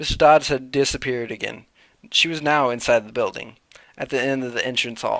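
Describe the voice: The clip consists of plain reading aloud.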